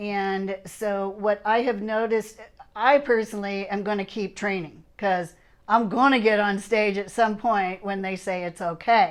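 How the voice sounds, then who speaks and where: A woman with an ordinary speaking voice talks at a fairly slow pace and with fairly even intonation. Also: medium pitch for a woman. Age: 60s. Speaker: fitness competitor and channel host. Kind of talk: casual chat.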